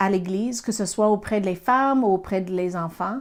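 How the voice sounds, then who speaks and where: On a very clean recording with a silent background, a woman with an American accent talks at a fairly slow pace with lively intonation. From US, Pennsylvania. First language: English (speaking French). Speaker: Bible teacher. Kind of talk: Bible teaching. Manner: halting, with fillers.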